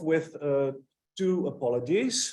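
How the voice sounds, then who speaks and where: This speaker is a man with a Dutch accent. He talks with lively intonation. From Netherlands. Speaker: philosopher, guest speaker. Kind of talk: lecture. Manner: hesitant with many fillers.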